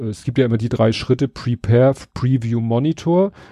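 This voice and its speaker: In a dry, close recording with no echo and a quiet background, a man speaks at a medium pitch with a dark, mellow tone. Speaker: podcast co-host. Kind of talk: casual chat.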